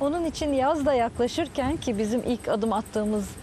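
A woman's plain, everyday voice at a moderate pace, with ordinary pitch variation, a dry sound with no echo and light background noise. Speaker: sailing federation president. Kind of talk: TV interview. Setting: outdoors by the sea. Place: waterside.

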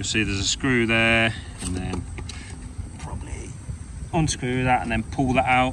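Noticeable background noise around a man's dry voice, free of echo. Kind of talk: tutorial. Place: street. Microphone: phone near.

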